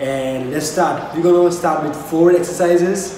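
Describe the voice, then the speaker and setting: A man's fairly slow speech with ordinary pitch variation, audible room echo and noticeable background noise. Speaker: fitness vlogger. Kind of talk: workout tutorial intro. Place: home room. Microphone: camera far.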